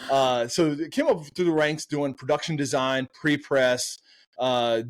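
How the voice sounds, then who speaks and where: A man with an American accent, fairly high-pitched and animated, energetic in tone, at a moderate pace with ordinary pitch variation, on a very clean recording with a silent background. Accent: slight Southern, stronger on country topics. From US South. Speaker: marketing agency co-founder. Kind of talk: podcast interview. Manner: animated storytelling.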